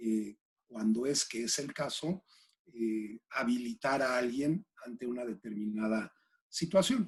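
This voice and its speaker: A man of medium pitch talks at a very slow pace with ordinary pitch variation. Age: 60s. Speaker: executive coach. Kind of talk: interview. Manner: halting, with many fillers.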